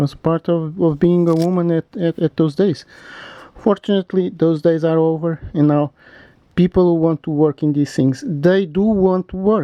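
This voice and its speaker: A man speaks with a non-native accent at a moderate pace. His pitch is high and his intonation fairly even. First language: not English. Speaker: macrame instructor. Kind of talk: tutorial. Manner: halting; casual.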